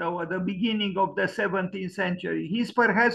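This man has a high pitch and fairly even intonation. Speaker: lecture host. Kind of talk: lecture. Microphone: video call.

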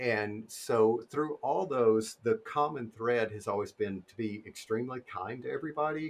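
Speaking at a moderate pace with hardly any pauses, a man keeps a medium pitch and ordinary pitch variation. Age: 40s. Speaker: illustrator; guest. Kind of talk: casual chat; interview answer. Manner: hesitant, many fillers. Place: home room. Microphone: video call.

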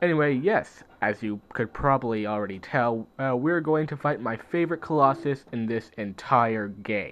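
A man at a medium pitch, moderate pace and ordinary pitch variation, with hardly any pauses. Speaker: gaming video creator. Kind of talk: let's play commentary. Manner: halting, many fillers.

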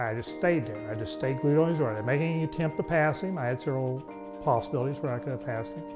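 Talking at a very fast pace, a man is heard with clear music behind him. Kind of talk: interview answer. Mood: amused storytelling. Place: workshop.

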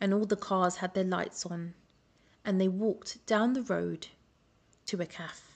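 A woman speaks in an English accent with monotone, flat intonation. Her pace is fairly slow against a quiet background. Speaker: children's story reader. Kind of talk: reading aloud. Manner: expressive storytelling.

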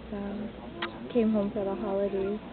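A woman at a moderate pace, with vocal fry and little pitch movement, over clear background noise. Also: medium pitch for a woman.

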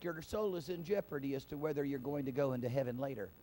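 Very fast speech in a dark, mellow tone over light background noise. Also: man. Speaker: pastor. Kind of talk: sermon. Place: church. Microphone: handheld.

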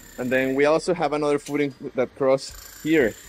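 The man keeps to a moderate pace. Behind him, music is playing. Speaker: foundation repair contractor. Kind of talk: walkthrough commentary. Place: home room. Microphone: phone near.

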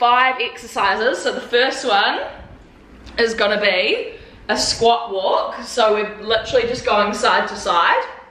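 Audible room echo surrounds a woman who speaks at a fairly slow pace with fairly even intonation. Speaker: fitness vlogger. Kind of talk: workout tutorial chat. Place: home room. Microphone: camera far.

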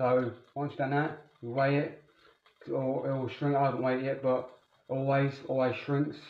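A man speaks in a monotone, flat way, and audible room echo surrounds his voice. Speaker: fitness vlogger. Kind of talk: casual vlog chat. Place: kitchen. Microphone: phone near.

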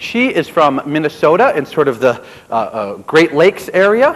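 Here a man speaks in an American accent at a moderate pace. His pitch is fairly high, with very wide swings. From upstate New York. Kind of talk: storytelling to a live audience. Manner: animated. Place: stage.

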